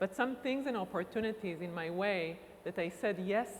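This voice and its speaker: A woman speaks with an Israeli accent. Her pitch is medium. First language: Hebrew. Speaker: university recruitment director. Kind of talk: conference talk.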